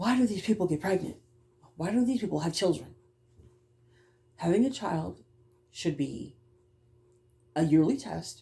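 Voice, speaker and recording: A woman's fairly low, dark, mellow voice with vocal fry, very wide pitch swings, and long, frequent pauses. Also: moderate pace. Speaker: vlogger. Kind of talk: casual monologue vlog.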